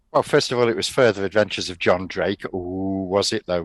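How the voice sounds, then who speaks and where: A man with an English accent talks at a fairly quick pace in a fairly low voice with ordinary pitch variation, and the sound is dry and close with no echo. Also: big swings in loudness. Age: 60s. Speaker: retired teacher. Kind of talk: casual chat.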